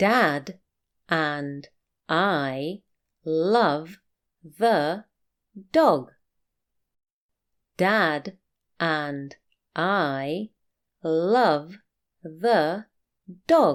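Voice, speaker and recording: With a British accent, a woman talks very slowly in a fairly low pitch, using lively intonation and long, frequent pauses. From UK. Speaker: teacher. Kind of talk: reading aloud. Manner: clear.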